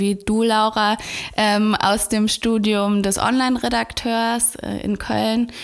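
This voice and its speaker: Her pitch is fairly high. The woman speaks in a monotone, with flat intonation. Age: 20s. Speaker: executive assistant. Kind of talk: casual chat. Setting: office room.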